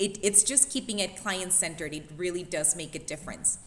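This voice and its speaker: A woman speaks with a non-native accent. Noticeable background noise runs through the clip. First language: not English. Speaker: fitness coach. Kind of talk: panel discussion. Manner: animated.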